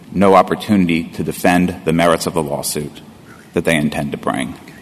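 A man with a very deep, low pitch talks at a fairly quick pace amid noticeable background noise. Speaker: lawyer for interveners. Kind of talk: appellate oral argument. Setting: courtroom.

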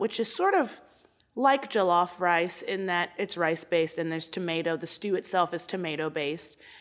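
On a very clean recording with a silent background, a woman with an American accent speaks at a moderate pace and medium pitch with ordinary pitch variation, in a normal speaking voice. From US, Baltimore, Maryland. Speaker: comedian. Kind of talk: casual chat.

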